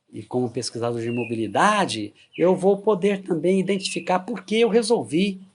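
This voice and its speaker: Here a man talks at a moderate pace with lively intonation in an unremarkable speaking voice. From Goiás, Brazil. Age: 60s. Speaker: retired forensic expert. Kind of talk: interview testimony.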